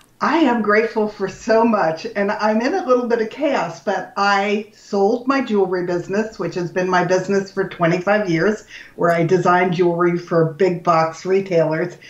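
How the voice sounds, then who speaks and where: Over noticeable background noise, a woman with an American accent talks at a moderate pace with hardly any pauses, her medium pitch showing ordinary variation. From US West, Los Angeles. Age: 70s. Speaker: health coach. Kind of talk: podcast interview.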